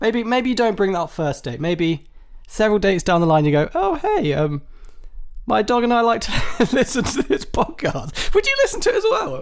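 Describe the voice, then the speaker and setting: Talking fairly quickly, a man speaks in an English accent. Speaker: podcast host. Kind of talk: live solo comedy podcast. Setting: live stream. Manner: mumbling; loud.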